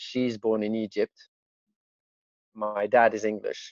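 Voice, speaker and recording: A man with a French accent speaking at a very slow pace, in a dry, close sound with no echo. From Hong Kong, French school, mixed Italian-English family. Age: 40s. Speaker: interviewee. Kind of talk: interview.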